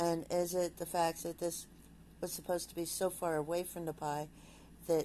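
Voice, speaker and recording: Speaking at a moderate pace, a woman uses a dark, mellow tone and a flat, monotone intonation. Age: 60s. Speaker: vlogger. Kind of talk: casual vlog monologue. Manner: halting.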